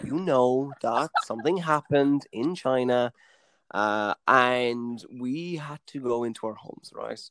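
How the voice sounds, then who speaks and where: A man with a western Irish accent speaks with ordinary pitch variation in a very clean, dry, close recording that has a silent background and no echo. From Mayo, west of Ireland. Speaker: podcast co-host, actor. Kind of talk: casual chat, drinking banter.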